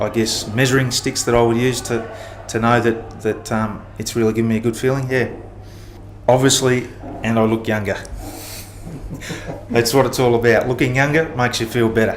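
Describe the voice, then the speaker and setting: Against noticeable background noise, a man speaks in a flat monotone, leaving long, frequent pauses. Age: 40s. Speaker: pool and spa chemicals salesman. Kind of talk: interview answer. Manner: hesitant, with many fillers.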